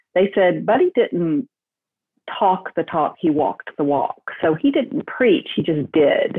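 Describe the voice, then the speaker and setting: A woman speaks at a very slow pace with very wide pitch swings. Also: medium pitch for a woman, very even loudness. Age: 60s. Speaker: entrepreneur, staffing company founder. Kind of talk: interview, personal story.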